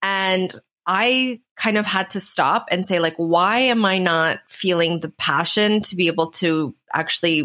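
A woman with a Canadian accent speaks fairly slowly in a bright, sharp tone at a medium pitch with ordinary pitch variation. The recording is very clean, with a silent background. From Canada. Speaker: swimwear brand founder and podcaster. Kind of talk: interview.

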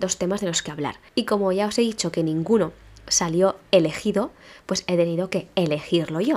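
Medium pitch and ordinary variation in a woman's voice. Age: 30s. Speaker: podcaster and teacher. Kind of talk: casual solo podcast monologue.

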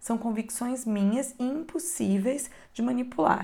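A woman talks at a fairly slow pace with ordinary pitch variation. Her tone is dark and mellow, calm and warm, and somewhat breathy. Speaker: audiobook narrator. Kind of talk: audiobook reading of an inspirational text. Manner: calm, reflective, measured; warm, earnest, intimate.

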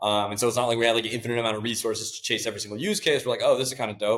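A man speaks with a Californian accent. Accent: Californian American. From California, Silicon Valley. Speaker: tech startup CEO. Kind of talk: interview.

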